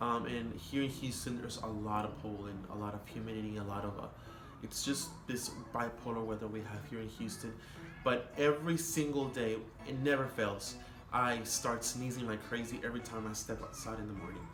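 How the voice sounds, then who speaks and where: A man with a Spanish accent talks at a fairly quick pace in a medium-pitched voice with ordinary pitch variation. Music plays in the background, and the room echo is audible. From Mexico border region, Matamoros, Tamaulipas. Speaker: vlogger. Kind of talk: casual vlog monologue. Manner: halting, many fillers.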